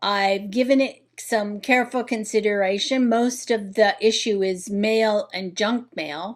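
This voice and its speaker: A woman with a normal speaking voice, fairly high pitch, fairly even intonation, a fairly slow pace and hardly any pauses. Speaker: home organizing vlogger. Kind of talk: tutorial.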